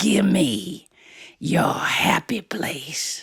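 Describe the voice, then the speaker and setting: This is a put-on character voice at a middle pitch. It sounds raspy and growling. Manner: menacing, growling.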